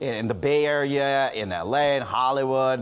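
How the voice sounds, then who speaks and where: A man speaks at a moderate pace in an ordinary speaking voice, his pitch sitting in the medium range. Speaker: news interviewer. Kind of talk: interview question. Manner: casual, friendly.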